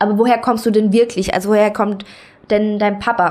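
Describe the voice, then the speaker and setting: In a normal speaking voice pitched fairly high, a woman talks at a moderate pace. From Germany, Saarland. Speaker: podcast host. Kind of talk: solo monologue podcast.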